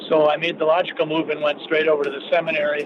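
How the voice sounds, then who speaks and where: Noticeable background noise sits behind a man with an American accent. He talks very fast at a fairly high pitch. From southern Minnesota. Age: 60s. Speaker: physician and state senator. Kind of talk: radio interview.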